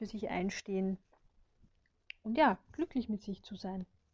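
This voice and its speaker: With ordinary pitch variation, a woman speaks at a very slow pace. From Vienna, Austria. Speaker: friend of host. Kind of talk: recorded voice message.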